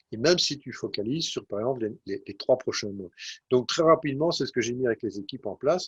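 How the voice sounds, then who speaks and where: In a dry, close recording with no echo, a man speaks at a very fast pace and a medium pitch, somewhat breathy, with lively intonation and big swings in loudness. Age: 60s. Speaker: IT executive. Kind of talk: interview. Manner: halting, many hesitations.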